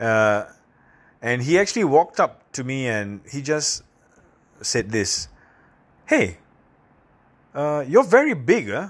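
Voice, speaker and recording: Against a quiet background, a man speaks at a very slow pace in a fairly high pitch, with very wide pitch swings and long, frequent pauses. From Singapore. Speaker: professional speaker and podcaster. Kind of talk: casual solo podcast monologue. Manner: casual, conversational, filler words.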